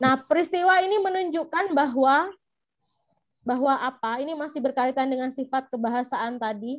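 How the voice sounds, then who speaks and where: With a Madurese accent, a woman talks in a high voice at a moderate pace, her pitch rising and falling in an ordinary way. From Madura, Indonesia. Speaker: teacher trainer. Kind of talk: online lecture.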